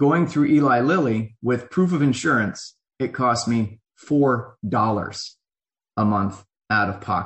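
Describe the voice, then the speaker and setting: A man with a somewhat breathy, medium-pitched voice speaks at a very slow pace with lively intonation. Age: 40s. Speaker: army veteran and advocate. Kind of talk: interview.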